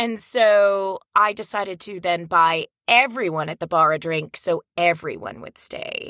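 A bright, sharp voice in an American accent, at a fairly slow pace with hardly any pauses, ordinary pitch variation and big swings in loudness, in a dry, close sound with no echo. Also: woman, medium pitch for a woman. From New Jersey. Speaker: audiobook narrator and actor. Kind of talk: casual interview chat.

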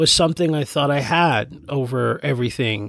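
Unhurried, fairly slow delivery captured on a very clean recording against a silent background. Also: man. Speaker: podcaster. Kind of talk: personal monologue. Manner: halting.

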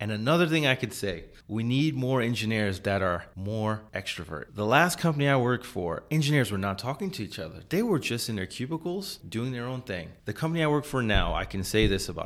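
A man with an American accent talks fairly quickly at medium pitch, with very wide pitch swings, in a very clean recording with a silent background. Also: hardly any pauses. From US Northeast, New York City. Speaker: electrical engineer. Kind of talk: casual chat. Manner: halting.

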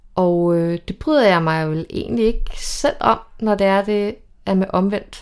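A woman's voice sits at a medium pitch. She talks very slowly. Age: 40s. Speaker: single woman sharing dating stories. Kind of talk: casual chat. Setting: at a women's party.

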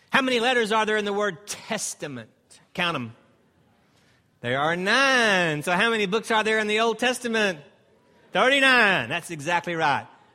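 Projecting a raised voice, a man with an American accent speaks at a high pitch with a bright, sharp tone and lively intonation. He leaves long, frequent pauses, and the recording is very clean with a silent background. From Texas, Dallas. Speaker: pastor and Bible seminar instructor. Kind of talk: interactive teaching seminar. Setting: stage with audience. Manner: animated.

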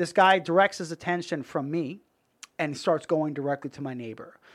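A man's fairly high voice at a fairly quick pace with ordinary pitch variation. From Brooklyn and Long Island, New York. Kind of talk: casual interview chat. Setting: studio.

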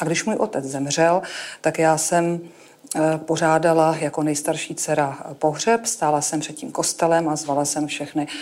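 A woman with a very deep, low pitch talks with fairly even intonation. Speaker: oncologist. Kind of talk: talk on stage.

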